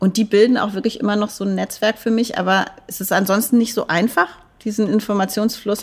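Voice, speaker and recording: On a very clean recording with a silent background, a woman uses a plain, everyday voice at medium pitch, with fairly even intonation and a fairly quick pace. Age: 40s. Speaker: dance professor. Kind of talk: interview.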